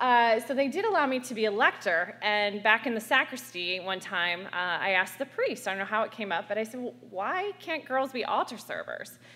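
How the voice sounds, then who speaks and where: With lively intonation and hardly any pauses, a woman talks at a fairly quick pace in a fairly high voice. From US, small town. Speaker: activist. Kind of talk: panel talk. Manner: loud.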